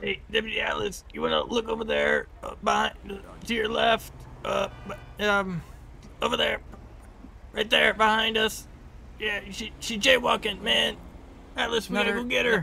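In a whiny put-on character voice, the speaker goes at a moderate pace with long, frequent pauses over clear background noise. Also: man. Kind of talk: comic overacting. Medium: machinima. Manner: whiny, crude, says "man" constantly.

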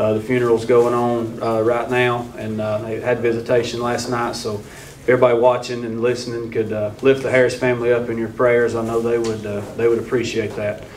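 Light background noise sits under a man who talks at a fairly quick pace in a monotone, flat intonation. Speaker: head football coach. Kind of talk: press conference statement. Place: hall. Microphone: studio mic.

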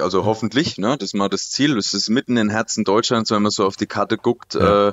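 Using an ordinary speaking voice, a man speaks at a fairly quick pace in a fairly low pitch with ordinary pitch variation. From Lower Franconia, Germany. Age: 20s. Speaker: startup consultant and lecturer. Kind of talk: casual interview. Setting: video call.

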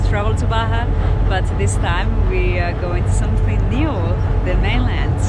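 Fairly slow speech in a dry setting with no echo, over loud background noise. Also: woman. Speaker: travel vlogger. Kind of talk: casual vlog chat. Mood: excited, hopeful. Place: boat. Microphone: phone near.

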